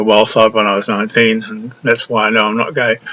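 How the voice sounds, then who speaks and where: A man with an Australian accent speaks at a moderate pace in a medium pitch. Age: 80s+. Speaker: retired academic and performer. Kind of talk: casual monologue. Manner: halting.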